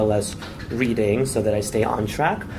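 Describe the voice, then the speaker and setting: Over noticeable background noise and audible room echo, a man of medium pitch speaks with fairly even intonation. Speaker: conference presenter, researcher. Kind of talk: conference presentation. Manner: fast; hesitant, many fillers.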